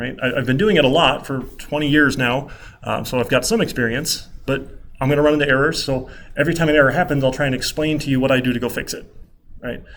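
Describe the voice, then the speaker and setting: A man speaks very fast with fairly even intonation. Audible room echo surrounds his voice. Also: fairly high pitch for a man. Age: 30s. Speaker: college computer science instructor. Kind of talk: lecture.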